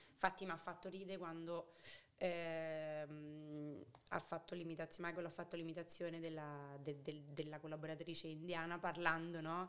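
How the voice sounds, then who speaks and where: A woman speaks in a fairly low voice with monotone, flat intonation. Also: moderate pace. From Rome, Italy. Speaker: podcast guest. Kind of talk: casual chat.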